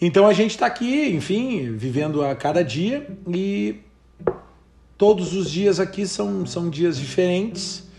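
Amid noticeable background noise, a man talks at a very slow pace with very wide pitch swings. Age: 40s. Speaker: podcast host. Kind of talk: casual chat.

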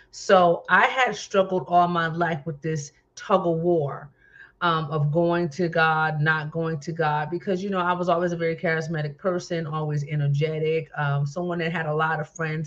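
Over a quiet background, a woman with an American accent speaks at a moderate pace in a fairly low, somewhat breathy voice with fairly even intonation. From New Jersey. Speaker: minister and talk show host. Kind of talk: testimony.

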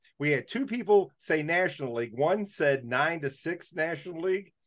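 A man speaks in a normal speaking voice, his fairly high pitch carried by lively intonation. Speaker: podcast host. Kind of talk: casual chat.

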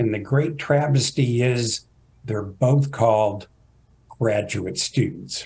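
With a Texan accent, a somewhat breathy man speaks very slowly at medium pitch with ordinary pitch variation. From Texas, Fort Worth. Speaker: geography professor. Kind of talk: interview.

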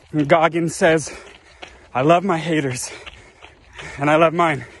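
Noticeable background noise around a man's fairly high voice. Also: long, frequent pauses. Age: 30s. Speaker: friend of the host, athlete. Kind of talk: recorded video message. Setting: outdoors on a morning run.

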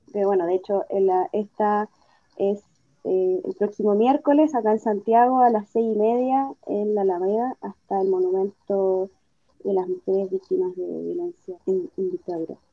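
Speaking at a moderate pace, a woman has a plain, everyday voice at medium pitch with ordinary pitch variation. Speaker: feminist activist. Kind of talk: interview.

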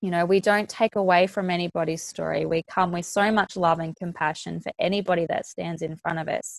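A woman with a fairly low pitch speaks in a monotone, flat way, with hardly any pauses. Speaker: coach. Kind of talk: coaching conversation. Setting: video call.

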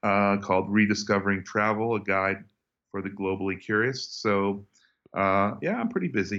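In an American accent, a man speaks at a moderate pace with a fairly low pitch and a monotone, flat intonation against a quiet background. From United States. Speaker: journalist, travel YouTuber and author. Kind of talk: interview.

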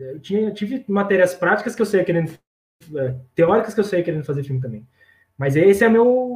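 This man's voice sits high for a male speaker. He uses lively intonation. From Brazil, São Carlos (São Paulo state). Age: 30s. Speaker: filmmaker and video producer. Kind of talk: interview. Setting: live stream. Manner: hesitant, many fillers.

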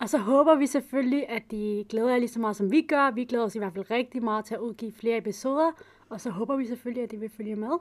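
This woman's voice is fairly high and moves through ordinary pitch variation. She races along at a very fast pace. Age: 20s. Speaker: podcast host. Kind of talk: casual podcast introduction.

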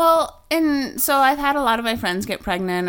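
Over a very clean recording with a silent background, a woman with a plain, everyday voice speaks at a moderate pace in an American accent, her intonation lively. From US Midwest, small town. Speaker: podcast co-host. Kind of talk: casual chat.

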